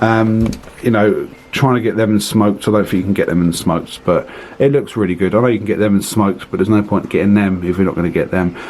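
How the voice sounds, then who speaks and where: In a British accent, a man speaks at a very fast pace with a fairly low pitch and fairly even intonation. His loudness stays very even over noticeable background noise. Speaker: reptile breeder and video host. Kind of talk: casual room tour video.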